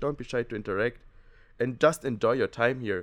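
With a German accent, a man speaks at a fairly quick pace in a medium pitch with ordinary pitch variation. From Germany. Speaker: exchange student. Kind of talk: casual chat. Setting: studio.

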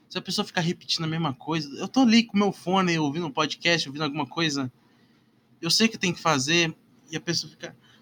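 Speaking with ordinary pitch variation, this man has a high voice. His pitch sits high. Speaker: solo podcaster. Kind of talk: casual monologue. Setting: home bedroom. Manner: halting.

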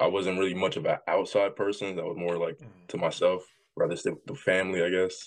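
Speaking at a very fast pace in an American accent, a man makes big swings in loudness against a quiet background. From US South, Jackson, Tennessee. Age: 20s. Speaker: pro wrestler. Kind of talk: interview.

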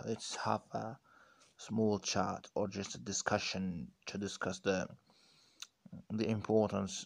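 A man with a non-native accent speaks at a very slow pace and a fairly low pitch. His intonation is monotone and flat, against a quiet background. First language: not English. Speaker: podcaster practicing English. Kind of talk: solo monologue on language learning. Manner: halting, with many restarts.

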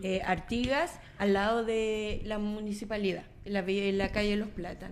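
Audible room echo hangs around a woman talking at a fairly slow pace. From Chile, Coquimbo. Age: 40s. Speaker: municipal official and journalist. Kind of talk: radio panel conversation.

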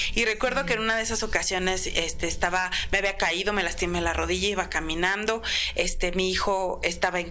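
Over noticeable background noise and audible room echo, a woman talks fairly quickly with very even loudness and fairly even intonation. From Mexico City, Iztapalapa. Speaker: clothing store owner. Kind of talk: interview.

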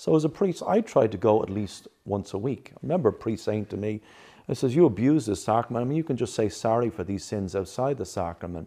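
With an Irish accent, a man of medium pitch and a dark, mellow tone speaks at a fairly quick pace with lively intonation against a quiet background. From Ireland. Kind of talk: interview.

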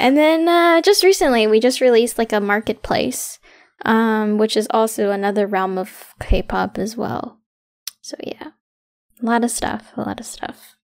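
A woman speaks in a normal speaking voice, fairly high in pitch, with lively intonation. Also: moderate pace. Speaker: student club president. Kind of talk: casual chat.

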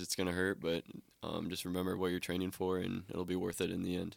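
A man speaks at a very deep, low pitch in a very clean recording with a silent background. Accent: American. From Iowa. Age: 20s. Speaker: college cross country runner. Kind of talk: casual chat.

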